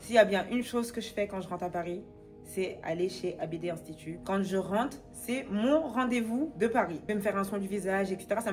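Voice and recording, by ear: With music in the background, a woman talks at a fairly quick pace in a medium pitch with ordinary pitch variation.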